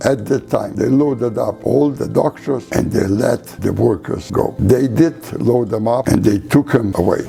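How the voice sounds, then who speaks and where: The speech moves at a fairly slow pace with hardly any pauses and ordinary pitch variation. Background noise is noticeable. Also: man, medium pitch for a man. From Poland. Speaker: Holocaust survivor. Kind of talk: interview answer.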